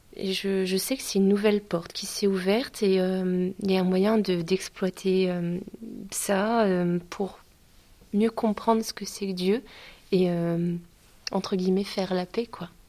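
Her dark, mellow voice sits at a medium pitch for a woman, moving at a fairly slow pace in a monotone, flat intonation with long, frequent pauses. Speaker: student. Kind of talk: testimony.

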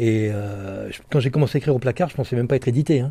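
At a fairly quick pace, a man with medium pitch and a dark, mellow tone speaks with ordinary pitch variation. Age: 60s. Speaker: author and former bank robber. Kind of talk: interview testimony. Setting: prison library.

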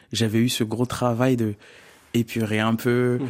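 The man's medium-pitched speech is captured on a very clean recording with a silent background. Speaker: singer. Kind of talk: radio interview. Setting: radio studio. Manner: talkative.

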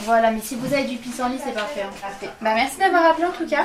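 A woman speaks at a high pitch. There is audible room echo and noticeable background noise. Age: 20s. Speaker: volunteer at wildlife centre. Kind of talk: interview on location.

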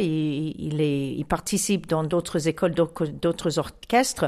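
This is a woman talking. She has an American accent. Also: very clean recording, silent background. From US (Chicago). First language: English (speaking French). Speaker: music association president. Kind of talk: interview. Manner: halting.

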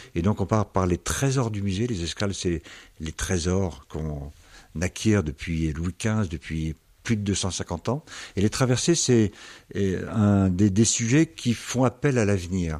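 A man's fairly low voice at a very slow pace. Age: 60s. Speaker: museum director. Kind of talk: interview. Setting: in the museum.

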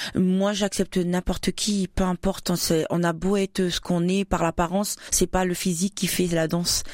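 Delivered in a monotone, flat intonation, the voice holds very even loudness in a dry, close sound with no echo. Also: woman, medium pitch for a woman, moderate pace, very clean recording, silent background. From New Caledonia, Wallis and Futuna heritage. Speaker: association president, former soldier. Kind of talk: radio interview. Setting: radio studio. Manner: hesitant, many fillers.

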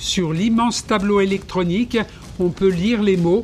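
A man's voice is pitched high. Behind him, music can be heard. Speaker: history podcast presenter. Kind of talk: scripted narration of Olympic history. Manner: formal, measured, didactic.

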